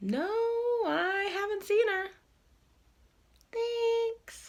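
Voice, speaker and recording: This is a put-on character voice, squeaky and extremely high in pitch. The tone is calm. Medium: read story. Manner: calm, unhurried.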